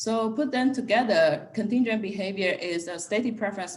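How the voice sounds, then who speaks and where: At a moderate pace, a woman talks in a plain, everyday voice. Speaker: economics researcher. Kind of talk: academic seminar talk.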